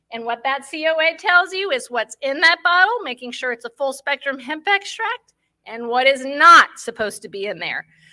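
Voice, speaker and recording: At a moderate pace, a woman uses a raised, projected voice with a high pitch, bright, sharp tone, very wide pitch swings and big swings in loudness, in a dry, close sound with no echo. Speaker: pet cannabis product maker. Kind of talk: conference talk.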